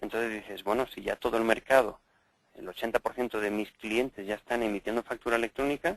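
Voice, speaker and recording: A man speaks at a very fast pace, the sound dry and close with no echo. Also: medium pitch for a man, fairly even intonation. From Spain, Valencia. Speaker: EDI software consultant. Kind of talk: interview. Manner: hesitant, many fillers.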